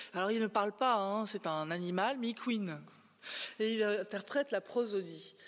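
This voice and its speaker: A woman uses an ordinary speaking voice at a medium pitch. Her pace is fairly slow, with ordinary pitch variation. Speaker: AI professor and researcher. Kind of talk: conference talk. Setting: stage with audience.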